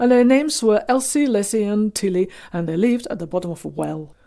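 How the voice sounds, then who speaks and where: In a hoarse, put-on character voice of medium pitch, a woman speaks at a very fast pace with lively intonation. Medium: read story. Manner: sleepy.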